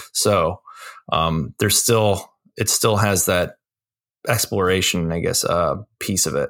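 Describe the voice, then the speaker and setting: A man at a fairly slow pace, very even loudness, long, frequent pauses, on a very clean recording with a silent background. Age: 40s. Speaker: graphic designer and game guide author. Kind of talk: casual chat.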